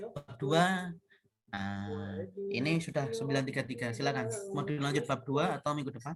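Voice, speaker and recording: There is music in the background. Over it, a man talks at a fairly high pitch. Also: lively intonation, moderate pace. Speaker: university lecturer. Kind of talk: online class lecture. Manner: casual, conversational.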